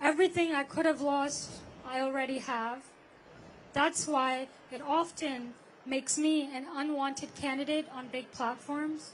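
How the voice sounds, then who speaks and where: A woman speaks with a high pitch at a fairly slow pace. Her intonation stays fairly even. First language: not English. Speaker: climate activist speaker. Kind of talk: protest rally speech. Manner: halting, with self-corrections.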